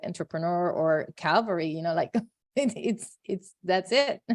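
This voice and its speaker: A woman's fairly low voice with a Puerto Rican accent, in a dry, close sound with no echo. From Puerto Rico. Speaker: podcast host, physician. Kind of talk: podcast interview.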